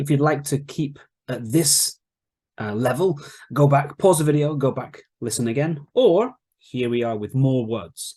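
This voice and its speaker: The man's voice is somewhat breathy, with a dark, mellow tone. He talks at a fairly slow pace with ordinary pitch variation. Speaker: English teacher. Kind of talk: online English lesson.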